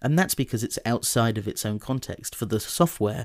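At a fairly quick pace comes an ordinary speaking voice. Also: man, very clean recording, silent background. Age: 20s. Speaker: podcast host. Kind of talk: scripted essay narration. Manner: formal.

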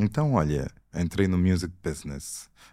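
Recorded very cleanly against a silent background, a man's very deep, low voice carries a dark, mellow tone. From Angola (Luanda). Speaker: film director. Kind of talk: casual interview.

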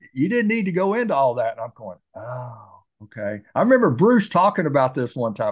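A somewhat breathy voice at a fairly quick pace, with very wide pitch swings and big swings in loudness. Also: man, hardly any pauses. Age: 60s. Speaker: podcast host. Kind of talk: casual interview.

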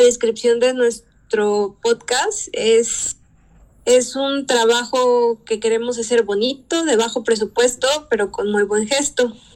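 A high-pitched woman talks at a very slow pace, her intonation fairly even. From Mexico, Veracruz (Poza Rica). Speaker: podcast co-host. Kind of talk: casual chat.

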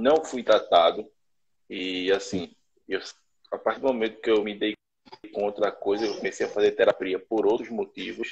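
Long, frequent pauses interrupt speech that otherwise moves at a moderate pace. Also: man. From Brazil, Recife. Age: 30s. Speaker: course participant sharing experience. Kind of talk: testimony.

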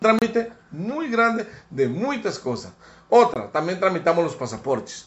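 Pitched high for a man, his voice takes very wide pitch swings at a fairly slow pace. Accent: Spanish. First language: Spanish (speaking Portuguese). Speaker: diplomat. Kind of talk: interview.

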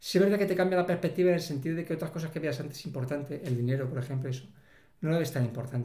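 Somewhat breathy, a man talks at a fairly high pitch with fairly even intonation. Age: 50s. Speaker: civil servant living with multiple sclerosis. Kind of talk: interview.

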